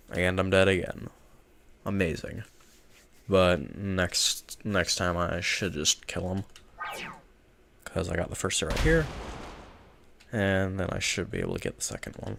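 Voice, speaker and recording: Over noticeable background noise, a man with a very deep, low pitch speaks at a fairly slow pace with ordinary pitch variation and long, frequent pauses. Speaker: gaming streamer. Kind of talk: gameplay commentary. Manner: casual, self-deprecating. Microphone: nice mic.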